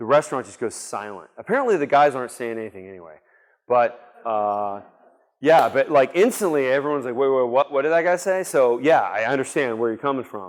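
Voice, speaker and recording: A man with a medium-pitched voice talks at a fairly quick pace with lively intonation and big swings in loudness, on a very clean recording with a silent background. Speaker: conference speaker. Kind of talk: conference Q&A.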